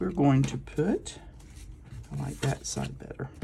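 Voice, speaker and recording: A soft-spoken woman. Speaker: crafting video creator. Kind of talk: crafting tutorial. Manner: mumbling.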